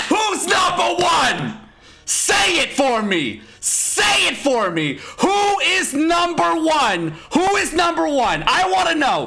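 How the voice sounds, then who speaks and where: Someone shouts at a very slow pace over noticeable background noise. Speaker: mobile game streamer. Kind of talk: celebration shouting. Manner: loud, shouting.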